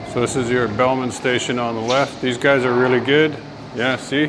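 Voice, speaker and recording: Over background music and audible room echo, a man talks at a moderate pace with medium pitch and fairly even intonation. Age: 60s. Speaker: travel vlogger. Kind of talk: casual vlog commentary. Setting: outdoors.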